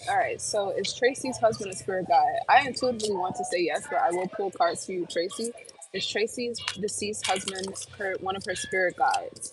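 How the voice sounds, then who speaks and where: A woman with an American accent talks at a fairly quick pace. Noticeable background noise can be heard. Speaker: tarot reader and psychic medium. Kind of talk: live-stream tarot reading Q&A. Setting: live stream at work. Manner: occasional stutter in readings; casual, hesitant with many fillers.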